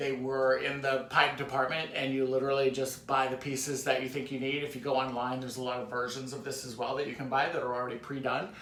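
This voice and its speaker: A man at medium pitch talks at a very fast pace in a monotone, flat intonation. Audible room echo and noticeable background noise fill the recording. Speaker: DIY crafts YouTuber. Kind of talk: home tour tutorial. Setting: in his home kitchen. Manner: casual, filler-heavy.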